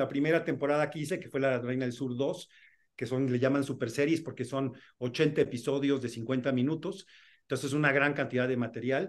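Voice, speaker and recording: An unremarkable speaking voice at a moderate pace. The intonation stays fairly even. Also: man, fairly high pitch for a man. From Mexico City. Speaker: film and TV director. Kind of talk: interview. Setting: video call. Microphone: video call.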